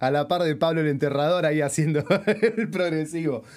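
Here a man with a fairly high pitch speaks at a moderate pace. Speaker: podcast host and musician. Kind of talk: interview.

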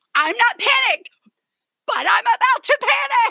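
A female-sounding, put-on character voice is pitched extremely high. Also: moderate pace. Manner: anxious, panicky.

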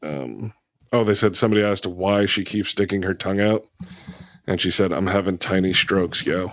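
A man talks at a fairly quick pace in an unremarkable speaking voice. His pitch is fairly low and his intonation fairly even. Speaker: podcast host. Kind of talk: casual comedy podcast banter. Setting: studio.

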